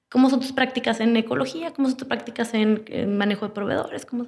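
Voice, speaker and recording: A woman speaks at a fairly high pitch. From Monterrey, Mexico. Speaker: communications professional and entrepreneur. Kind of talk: interview.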